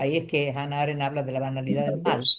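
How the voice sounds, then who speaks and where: The speaker is a woman. She talks at a fairly quick clip. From Argentina, Tucumán. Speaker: doctor, panel speaker. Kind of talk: panel talk. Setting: lecture hall with audience and Zoom.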